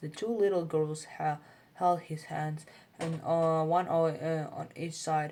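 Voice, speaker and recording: A woman's fairly low-pitched voice with a non-native accent at a fairly slow pace. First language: not English. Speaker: English learner reading aloud. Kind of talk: reading aloud. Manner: halting, frequent self-corrections.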